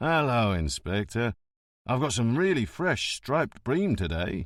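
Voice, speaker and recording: A man puts on a character voice at medium pitch, swinging very widely up and down at a moderate pace, on a very clean recording with a silent background. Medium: read story.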